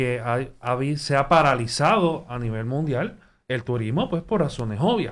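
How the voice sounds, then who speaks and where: Speech moves at a fairly slow pace on a very clean recording with a silent background. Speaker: student panelist. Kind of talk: interview.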